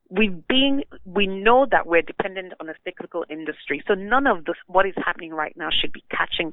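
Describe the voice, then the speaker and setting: A woman's medium-pitched voice, a normal speaking voice, with big swings in loudness, lively intonation, a fairly quick pace and hardly any pauses. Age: 30s. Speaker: energy expert. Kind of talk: interview.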